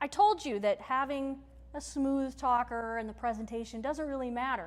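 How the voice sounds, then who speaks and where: Loud and high-pitched, a woman speaks at a moderate pace with lively intonation and an animated tone. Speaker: workshop presenter and teacher. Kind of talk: lecture. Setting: stage with audience. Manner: projects loudly.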